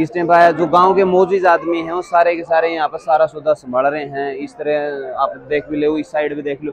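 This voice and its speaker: At a moderate pace, a man talks with fairly even intonation and hardly any pauses, the sound dry with no echo and light background noise behind him. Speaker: local video reporter. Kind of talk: walking reportage commentary. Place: street. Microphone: lapel.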